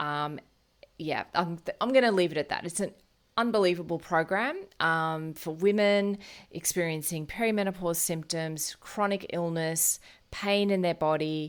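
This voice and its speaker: With an Australian accent, a woman talks at a moderate pace in a fairly low pitch with ordinary pitch variation, on a very clean recording with a silent background. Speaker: naturopath and podcast host. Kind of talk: solo podcast talk. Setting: at home.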